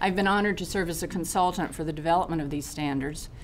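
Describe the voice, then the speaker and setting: Against audible room echo, a woman talks at a fairly low pitch with fairly even intonation. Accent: North Carolina. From US South, North Carolina. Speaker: retired physical education specialist. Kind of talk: public testimony. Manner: formal.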